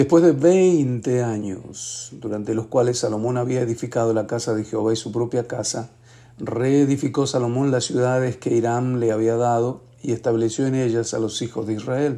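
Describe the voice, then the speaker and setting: In a plain, everyday voice, a man speaks at medium pitch and a moderate pace with fairly even intonation. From Argentina, Mendoza. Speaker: bible reading podcaster. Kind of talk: reading aloud scripture with brief comments.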